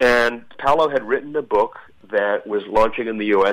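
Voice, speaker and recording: A normal speaking voice from a man, medium in pitch, with ordinary pitch variation and a fairly quick pace. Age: 60s. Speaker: author. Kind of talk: interview.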